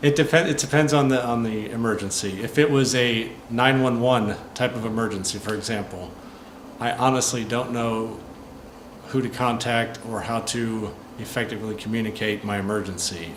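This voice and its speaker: A man with an American accent at a moderate pace, amid audible room echo and noticeable background noise. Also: medium pitch for a man, ordinary pitch variation. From US Midwest, St. Louis area. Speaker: American expat helping visitors. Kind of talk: interview. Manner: clear-spoken.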